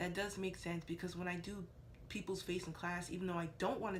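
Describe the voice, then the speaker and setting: The tone is animated. The speech moves at a very fast pace. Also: woman. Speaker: beauty vlogger, makeup student. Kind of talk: casual talk-to-camera vlog. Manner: loud.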